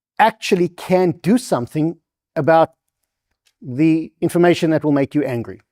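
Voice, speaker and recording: A man's high, dark, mellow voice at a moderate pace with ordinary pitch variation, on a very clean recording with a silent background. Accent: South African. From South Africa, Durban. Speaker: invited speaker on NGO funding. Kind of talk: public lecture with slides. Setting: stage with live audience.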